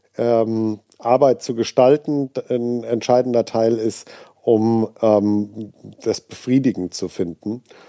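A man's speech at a very slow pace. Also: dry, close sound with no echo. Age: 40s. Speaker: head of a software engineering school. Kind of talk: interview. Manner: hesitant, many filler sounds.

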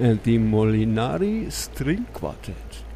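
A man speaks at a very slow pace. Noticeable background noise and audible room echo surround him. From Germany. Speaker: radio DJ. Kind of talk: music radio announcing.

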